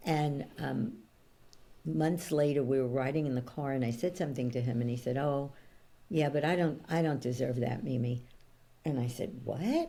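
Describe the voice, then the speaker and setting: A woman's very deep, low-pitched voice, dark and mellow in tone, at a moderate pace. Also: ordinary pitch variation. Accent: New York. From New York, Brooklyn. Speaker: coach and author. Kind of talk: interview conversation.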